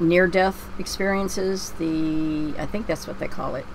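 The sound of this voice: A woman with a Pennsylvania accent, slow pace and fairly even intonation. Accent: American, Pennsylvania.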